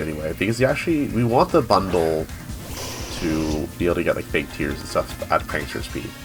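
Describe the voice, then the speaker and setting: Music plays behind a man. He talks at a very fast pace. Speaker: competitive Pokemon player. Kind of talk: gameplay commentary.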